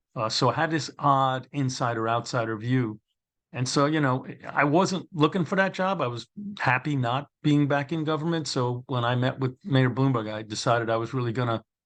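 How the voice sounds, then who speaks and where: Against a quiet background, a man with a Brooklyn accent speaks at a medium pitch with ordinary pitch variation. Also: moderate pace. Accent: New York (Brooklyn). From New York City (Brooklyn). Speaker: former probation commissioner, author. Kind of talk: interview conversation. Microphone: connection difficulty at start.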